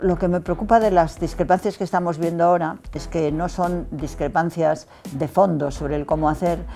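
A woman's fairly low-pitched voice with fairly even intonation and hardly any pauses, faint music in the background. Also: moderate pace. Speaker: interviewee. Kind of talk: interview answer. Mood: calm, thoughtful, occasional laugh. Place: studio. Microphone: lapel.

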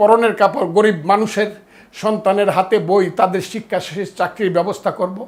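The man's voice sits at a high pitch. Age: 70s. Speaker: lawyer and political speaker. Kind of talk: political speech. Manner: impassioned, declamatory.

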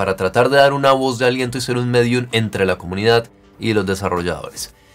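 A man speaks at a fairly quick pace with ordinary pitch variation, faint music playing in the background. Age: 30s. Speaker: gaming youtuber. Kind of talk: video tutorial. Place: home room.

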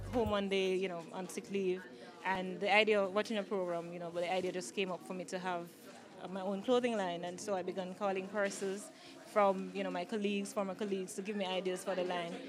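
A woman's very fast speech in a Jamaican accent, fairly even in intonation, over noticeable background noise. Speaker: clothing line owner and designer. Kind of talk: media interview; promotional plug. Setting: product launch event. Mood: pleased, friendly. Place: shop. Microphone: handheld.

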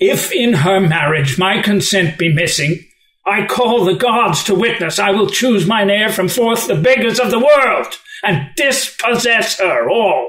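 A man speaks at a high pitch with lively intonation. He keeps a fairly slow pace. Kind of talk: unrehearsed Shakespeare reading.

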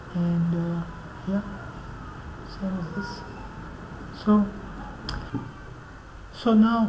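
Against noticeable background noise, a man with a high voice speaks very slowly in a flat monotone. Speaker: 3D software tutorial maker. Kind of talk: screen-recorded software tutorial. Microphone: webcam.

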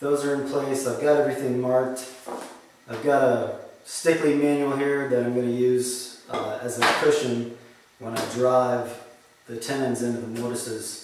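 A man talks at a moderate pace with fairly even intonation. There is strong room echo and light background noise. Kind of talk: tutorial. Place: workshop. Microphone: camera far.

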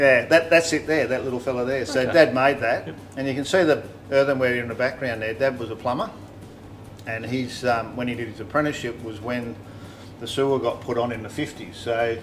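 Noticeable background noise accompanies a man's voice. He talks at a fairly quick pace with big swings in loudness. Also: ordinary pitch variation. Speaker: host telling his life story. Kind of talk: casual reminiscing conversation. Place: home room. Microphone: studio mic.

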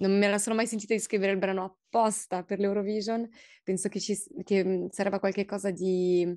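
In a French accent, a woman speaks at a medium pitch with a dark, mellow tone. Her intonation is monotone and flat, and the background is quiet. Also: fairly quick pace. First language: French (speaking Italian). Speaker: singer-songwriter; interviewee. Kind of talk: interview. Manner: halting, many fillers and repetitions. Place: office. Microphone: video call.

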